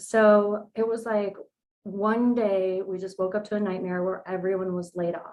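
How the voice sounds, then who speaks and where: A woman speaks in a Californian accent at a medium pitch. Her delivery is fairly slow, with flat, monotone intonation. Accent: General American, Californian. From US West Coast, San Diego, California. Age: 40s. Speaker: nutrition coach. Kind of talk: podcast interview, personal story.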